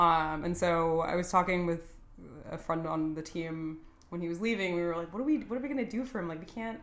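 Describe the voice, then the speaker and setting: Speaking with an American accent, a woman moves at a fairly quick pace. Her fairly low pitch has ordinary variation, and the room echo is audible. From San Antonio, Texas. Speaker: marketing professional. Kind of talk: casual chat.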